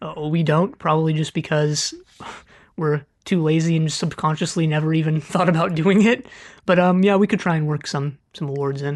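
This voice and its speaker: A woman with an American accent, very deep, low pitch, fairly even intonation and a moderate pace, over a quiet background. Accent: vaguely American, Californian. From California, US. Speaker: podcast co-host. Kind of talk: casual chat. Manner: hesitant, many fillers.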